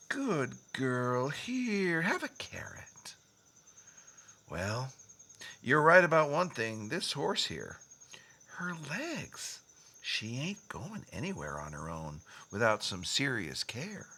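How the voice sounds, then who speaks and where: In a put-on character voice with a drawling Western US accent, the speaker talks at a very slow pace and a low-to-middle pitch, with long, frequent pauses. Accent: Old West drawl. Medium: audio drama. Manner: folksy, drawling.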